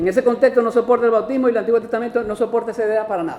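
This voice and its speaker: Noticeable background noise sits behind a man's high-pitched voice. He speaks at a very fast pace. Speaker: pastor. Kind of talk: sermon.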